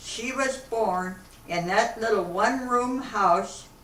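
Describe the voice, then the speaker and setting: Speaking very slowly with an American accent, a woman uses a fairly high pitch and ordinary pitch variation, with audible room echo and noticeable background noise. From Akron, Ohio, US Midwest. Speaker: elderly woman telling her life story. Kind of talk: oral history interview.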